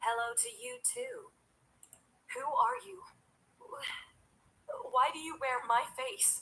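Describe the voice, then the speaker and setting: A woman puts on a robotic character voice pitched high. She goes at a fairly slow pace with long, frequent pauses. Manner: uncanny, questioning.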